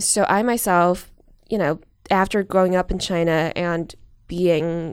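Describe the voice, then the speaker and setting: A woman speaks at a fairly low pitch in a very clean recording with a silent background. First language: Chinese. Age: 20s. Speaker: researcher and journalist. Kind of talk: interview.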